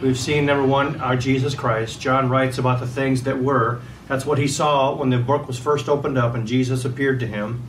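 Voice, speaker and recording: Fairly even intonation and a fairly quick pace from a man, with light background noise. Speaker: pastor. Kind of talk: sermon. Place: home room. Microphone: camera far.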